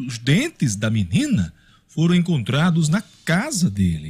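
A somewhat breathy man at a fairly slow pace, with very wide pitch swings and a quiet background. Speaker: radio news host. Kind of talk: news commentary. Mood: grave, indignant. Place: studio. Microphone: studio mic.

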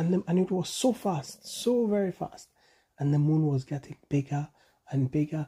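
This man has a fairly high pitch and a husky, rough edge. His tone is dark and mellow.

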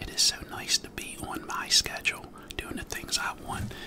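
A man speaks over loud background noise. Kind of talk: casual vlog chat. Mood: cheerful, chatty, hopeful. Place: home room. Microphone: studio mic.

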